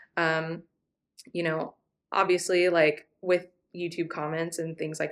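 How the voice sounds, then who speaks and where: A woman with an American accent speaks at a fairly slow pace in a fairly low, flat monotone, recorded very cleanly against a silent background. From California, US. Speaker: travel vlogger. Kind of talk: casual chat. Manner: casual, many fillers.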